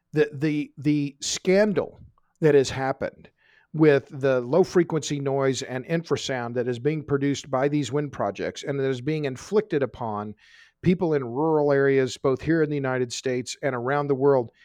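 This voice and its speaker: In an American accent, a man with an ordinary speaking voice and fairly high pitch talks at a moderate pace with ordinary pitch variation, the sound dry and close with no echo over a quiet background. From Oklahoma. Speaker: energy author. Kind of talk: interview.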